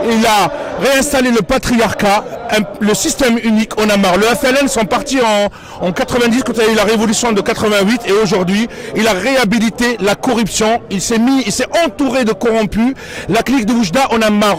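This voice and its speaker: Over noticeable background noise, a man with a high voice talks at a fairly quick pace, his loudness very even and his pitch variation ordinary. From Algeria. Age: 30s. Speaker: protester. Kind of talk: street interview.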